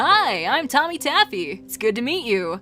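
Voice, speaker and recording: Over clear music in the background, a female-sounding, put-on character voice speaks at a moderate pace in a cheerful tone, high in pitch with very wide pitch swings. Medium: read story. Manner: cheerful, overly deliberate.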